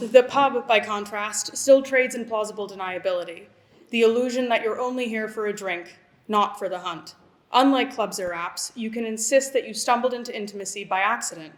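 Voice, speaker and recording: With an American accent, a woman speaks in a plain, everyday voice at a fairly quick pace. Her pitch variation is ordinary, while her loudness swings widely. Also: fairly high pitch for a woman. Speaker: writer. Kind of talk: reading aloud. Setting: stage with audience.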